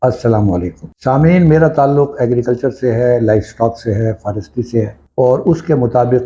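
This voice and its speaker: Somewhat breathy, a man speaks at a medium pitch with a dark, mellow tone and ordinary pitch variation. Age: 70s. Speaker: agriculture expert and health channel host. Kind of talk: informal talk to camera.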